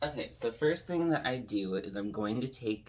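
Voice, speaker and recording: A soft-spoken man talks at a moderate pace. His pitch varies in an ordinary way. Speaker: drag queen makeup tutorial creator. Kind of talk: tutorial. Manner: casual, filler-heavy.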